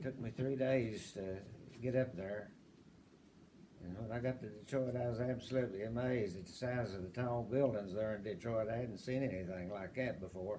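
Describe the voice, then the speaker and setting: Speaking in an Appalachian accent at a moderate pace, a man keeps a medium pitch and fairly even intonation, with audible room echo and noticeable background noise. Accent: Appalachian Southern American. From US South, southwest Virginia (Appalachia). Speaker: interviewee in family oral history. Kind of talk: oral history interview.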